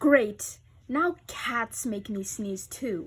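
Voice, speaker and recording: The voice sounds female and sits at a fairly high pitch. It is a put-on character voice. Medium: read story. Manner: anxious, overdramatic.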